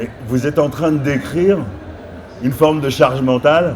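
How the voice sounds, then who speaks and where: Noticeable noise runs beneath fairly slow speech whose pitch varies in an ordinary way. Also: man. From France. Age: 60s. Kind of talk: panel discussion. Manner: hesitant, many fillers.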